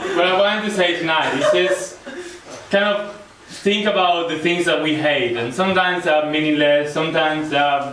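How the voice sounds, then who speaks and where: A man talks at a fairly quick pace with ordinary pitch variation, his voice carrying audible room echo over noticeable background noise. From Spain. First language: Spanish. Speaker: audience member performing spoken word. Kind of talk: spoken word performance.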